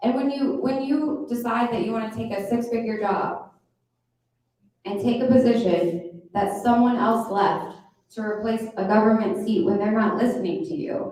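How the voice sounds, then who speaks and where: Delivered at a moderate pace, the speech has an animated tone and lively intonation, with audible room echo. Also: woman. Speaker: political rally speaker. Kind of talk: campaign speech. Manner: loud.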